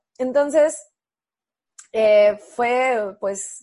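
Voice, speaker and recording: In a Mexican accent, a woman speaks against a quiet background. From Mexico. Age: 30s. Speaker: architect and adaptive surfer. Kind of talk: interview testimony.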